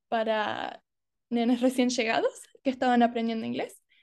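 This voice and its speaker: With an Argentine accent, a woman speaks in a high pitch over a quiet background. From Australia (Adelaide), Argentine family. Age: 20s. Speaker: university student. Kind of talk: interview. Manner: halting.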